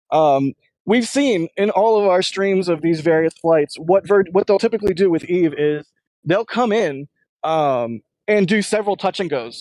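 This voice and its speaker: This man has a high-pitched voice. The sound is dry and close, with no echo. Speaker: space launch livestream commentator. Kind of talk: live commentary. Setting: remote location, middle of nowhere. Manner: fast. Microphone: audio may get splotchy from internet connection.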